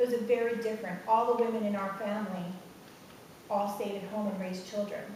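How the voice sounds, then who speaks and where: A woman speaks very fast at medium pitch, her intonation monotone and flat. Noticeable background noise and audible room echo fill the recording. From Puerto Rico. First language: Spanish. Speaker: education professional. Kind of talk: personal testimony on panel.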